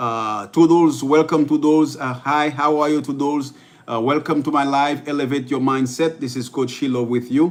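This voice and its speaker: Speaking with a Haitian accent, a man has a fairly high pitch. His pace is moderate and his intonation fairly even. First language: Haitian Creole. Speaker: life coach. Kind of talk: livestream motivational talk. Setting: live stream. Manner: halting, many fillers and repetitions.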